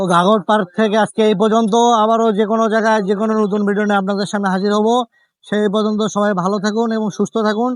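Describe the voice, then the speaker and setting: A man's high-pitched, monotone, flat delivery with very even loudness, over a quiet background. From Gaibandha, northern Bangladesh. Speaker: travel vlogger. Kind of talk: vlog narration. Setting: outdoors.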